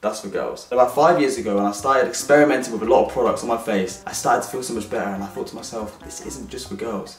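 Talking at a very fast pace, a man is heard with audible room echo and faint music in the background. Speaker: vlogger. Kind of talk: casual vlog chat.

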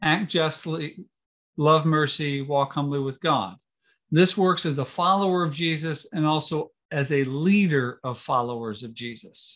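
A man speaks in an unremarkable speaking voice, fairly slowly and at a fairly high pitch. His pitch varies in an ordinary way over a quiet background. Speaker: church official; webinar host or presenter. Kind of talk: workshop hosting. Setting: video call. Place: home room. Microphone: video call.

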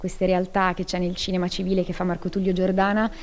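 With a dark, mellow tone, a woman is speaking. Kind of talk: interview answer. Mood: grateful, warm. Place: hall. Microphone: handheld.

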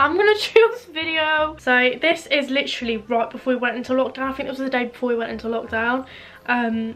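With a southern English accent, a woman speaks at a high pitch and fairly quick pace with ordinary pitch variation, as faint music plays in the background. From Isle of Wight, England. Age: young. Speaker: lifestyle vlogger. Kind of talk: casual talk to camera. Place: home room. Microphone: camera far.

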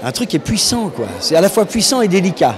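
Crowd noise fills the background. A man speaks at a moderate pace. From France. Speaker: voice actor. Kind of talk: interview answer. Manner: enthusiastic, hesitant. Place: hall. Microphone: handheld.

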